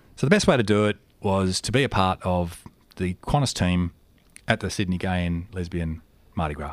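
A man with an Australian accent talks at a moderate pace in a very deep, low pitch, using ordinary pitch variation and long, frequent pauses. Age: 40s. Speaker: aircraft maintenance engineer. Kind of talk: interview. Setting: studio.

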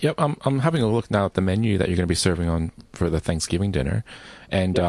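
A man with an American accent at a very fast pace, the sound dry and close with no echo. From northern New Jersey, US. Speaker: radio host. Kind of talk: casual radio chat.

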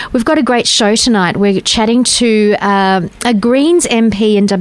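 The speaker is a woman with a fairly high pitch. Noticeable background noise can be heard. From Western Australia. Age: 40s. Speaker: radio host. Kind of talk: casual chat. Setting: studio.

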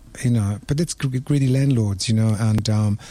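A man's somewhat breathy, dark and mellow voice at a moderate pace, with fairly even intonation. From Italy, Rome. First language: Italian. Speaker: restaurant owner. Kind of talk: radio panel discussion.

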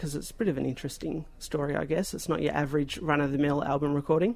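A man talks at a very fast pace with an Australian accent. His pitch is fairly high. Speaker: community radio host. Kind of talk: radio interview.

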